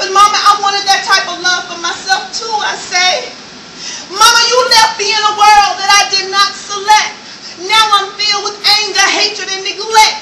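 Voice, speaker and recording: A woman at an extremely high pitch, raised and projected, monotone and flat, moderately paced, over noticeable background noise. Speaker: spoken word artist. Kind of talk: spoken word poetry performance. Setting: live stage performance.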